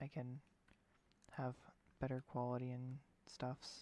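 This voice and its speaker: Soft-spoken delivery at a very slow pace. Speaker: gaming streamer. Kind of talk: live gameplay stream. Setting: at home late at night. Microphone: low quality mic, input maxed.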